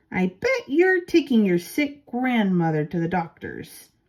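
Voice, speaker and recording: A woman performs a put-on character voice at a fairly high pitch with very wide pitch swings. She goes at a fairly slow pace on a very clean recording with a silent background. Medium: read story.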